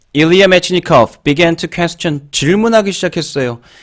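In an unremarkable speaking voice, a man talks at a fairly slow pace and fairly high pitch with ordinary pitch variation, in a very clean recording with a silent background. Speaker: English exam-prep teacher. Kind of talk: lecture.

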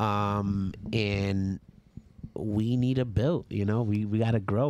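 A man with a New York accent has a dark, mellow tone. His pitch is fairly low and his intonation monotone and flat. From New York, the Bronx. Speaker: podcast host, DJ and creative. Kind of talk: casual chat.

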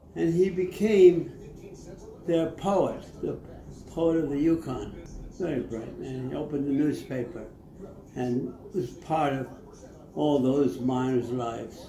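A man's fairly high voice with lively intonation at a fairly slow pace, long, frequent pauses, audible room echo and light background noise. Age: 80s+. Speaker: elderly man reciting poetry. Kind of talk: casual talk about a poet. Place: home room.

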